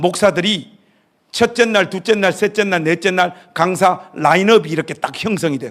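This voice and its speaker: An animated tone at a moderate pace, with ordinary pitch variation. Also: man. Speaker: pastor, guest revival speaker. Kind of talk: sermon. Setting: church revival meeting with congregation.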